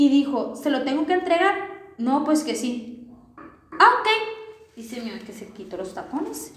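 A woman's high-pitched voice at a fairly slow pace, with very wide pitch swings and big swings in loudness. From Sinaloa, Mexico; raised partly on a ranch. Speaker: podcast guest. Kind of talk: casual chat.

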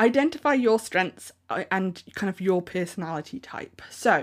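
An unremarkable speaking voice: a woman at medium pitch, fairly slow pace and lively intonation, in a very clean recording with a silent background. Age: 30s. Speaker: podcast host and handmade business coach. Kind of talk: solo podcast monologue. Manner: casual, conversational.

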